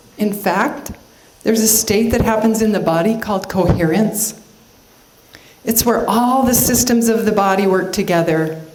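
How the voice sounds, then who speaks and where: Amid noticeable background noise and audible room echo, a woman with a fairly high pitch talks at a moderate pace with ordinary pitch variation. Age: 60s. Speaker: motivational speaker, cancer survivor. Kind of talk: inspirational talk.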